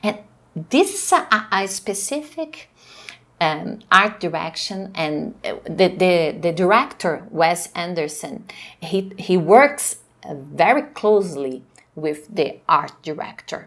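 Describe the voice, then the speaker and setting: A woman with a Portuguese accent speaks at a very slow pace in a medium pitch, her intonation lively and her loudness swinging widely. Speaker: professor. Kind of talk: lecture. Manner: halting.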